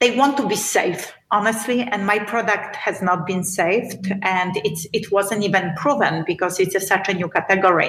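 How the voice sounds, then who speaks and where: A Polish accent at a fairly slow pace, with ordinary pitch variation. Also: woman. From Poland. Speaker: beauty entrepreneur. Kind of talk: podcast interview.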